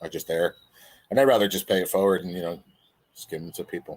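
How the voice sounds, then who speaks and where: The man talks at a very fast pace. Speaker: YouTube livestream host. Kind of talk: casual livestream chat. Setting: live stream.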